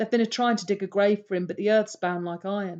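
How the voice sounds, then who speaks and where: A woman speaks at a medium pitch with fairly even intonation. Her tone is dark and mellow. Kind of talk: audiobook reading.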